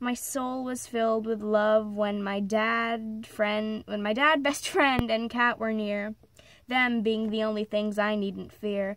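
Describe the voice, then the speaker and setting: Very slowly and in a monotone, flat intonation, a woman talks at a fairly high pitch. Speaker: amateur poet. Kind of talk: poetry reading.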